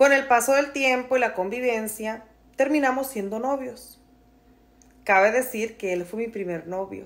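With a warm, animated tone, a woman speaks at a fairly slow pace in a fairly high pitch, showing ordinary pitch variation. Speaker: storyteller. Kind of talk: storytelling, reading a follower's personal story aloud in first person. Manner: warm, conversational, empathetic and animated. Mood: dramatic, gossipy storytelling. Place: home room. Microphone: phone near.

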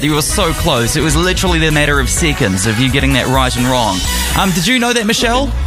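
Clear music plays behind the speaker. A man talks at a very fast pace. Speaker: radio host / DJ. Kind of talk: live radio show hosting. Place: studio. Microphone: studio mic.

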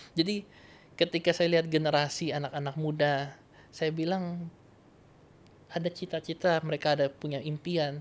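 Talking at a fairly quick pace, a man uses a fairly high pitch. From North Sulawesi, Indonesia; Indonesia. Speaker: evangelist. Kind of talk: interview testimony. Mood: warm, earnest. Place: studio. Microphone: studio mic.

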